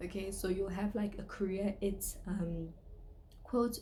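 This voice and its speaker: The voice belongs to a woman, unhurried at a fairly slow pace. Her words carry audible room echo. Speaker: online store owner and vlogger. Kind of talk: tutorial. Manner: casual, with fillers.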